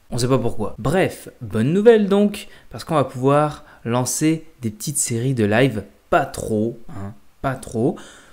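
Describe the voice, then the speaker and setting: The background is quiet while a man talks with lively intonation. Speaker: youtuber. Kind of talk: casual vlog chat. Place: home room. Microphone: webcam.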